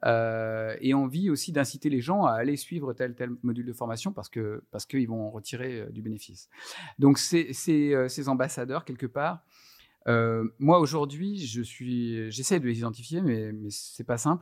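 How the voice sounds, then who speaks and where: Medium in pitch, a man speaks at a fairly slow pace with ordinary pitch variation. The recording is very clean, with a silent background. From France, Lyon. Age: 50s. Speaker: HR training coordinator. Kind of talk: casual interview. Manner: hesitant, many fillers and repetitions.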